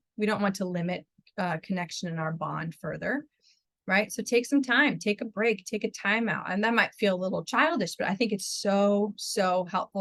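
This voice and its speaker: A woman talks at a moderate pace, somewhat breathy, with ordinary pitch variation. The sound is dry and close, with no echo. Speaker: marriage and family therapist. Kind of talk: webinar presentation; Q&A answers.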